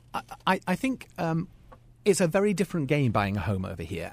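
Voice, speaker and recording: A man talks with a British accent. The recording is very clean, with a silent background. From UK. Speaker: school principal. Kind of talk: radio interview. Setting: radio studio.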